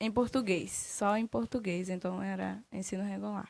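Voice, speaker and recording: The recording is very clean, with a silent background. A woman is the speaker. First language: Baniwa (speaking Portuguese). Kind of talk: radio interview.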